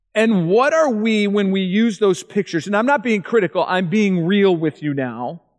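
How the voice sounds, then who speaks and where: A speaker with lively intonation talks at a moderate pace with hardly any pauses against a quiet background. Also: man, high pitch for a man. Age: 40s. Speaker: evangelist. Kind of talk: seminar talk.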